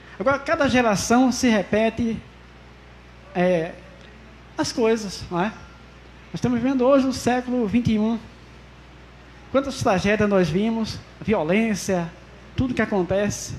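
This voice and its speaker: Long pauses come often in this fairly slow speech. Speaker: pastor. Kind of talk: sermon. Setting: church service, streamed online. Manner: soft-spoken.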